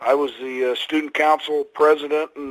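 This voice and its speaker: A man with an American accent speaks at a moderate pace and fairly high pitch. The sound is dry and close, with no echo. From Indiana, US Midwest. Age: 60s. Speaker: retired pro wrestler. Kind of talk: interview.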